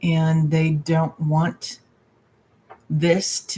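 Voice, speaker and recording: A woman speaks with fairly even intonation. Her pitch is very deep and low. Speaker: tarot reader. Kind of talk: live stream Q&A. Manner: slow; halting.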